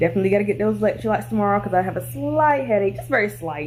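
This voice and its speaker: A woman talks in a room with audible echo, with noticeable background noise as well. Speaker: vlogger. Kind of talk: vlog diary update. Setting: in bed at home. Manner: low energy, mellow.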